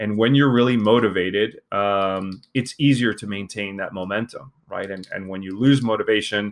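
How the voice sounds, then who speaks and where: A man talks at a moderate pace in a normal speaking voice. His pitch is fairly low and his intonation fairly even. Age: 40s. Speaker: podcast host. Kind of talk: solo podcast monologue. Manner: casual, with frequent fillers.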